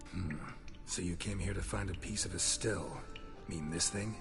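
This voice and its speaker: With loud music in the background and a clear echo, a cartoonish character voice talks at a moderate pace. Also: man, very deep, low pitch for a man. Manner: terse, dry, clipped sentences.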